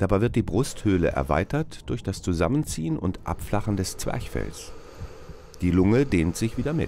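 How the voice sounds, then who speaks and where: A man talks at a moderate pace with a very deep, low pitch. His voice has vocal fry and very wide pitch swings. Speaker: narrator of school biology film. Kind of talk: educational film narration. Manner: formal, measured, didactic; clear, even, explanatory pace.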